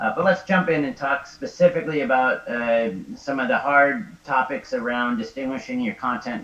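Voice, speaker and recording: Fairly high in pitch, a man speaks with lively intonation over noticeable background noise. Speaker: XR designer. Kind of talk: lecture. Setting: live stream. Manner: fast.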